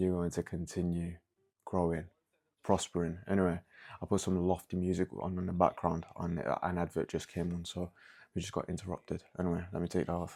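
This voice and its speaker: A man's very deep, low voice with a London accent, flat and monotone, at a fairly quick pace. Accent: British (London). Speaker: podcast host. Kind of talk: casual solo podcast monologue. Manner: casual, halting with stutters.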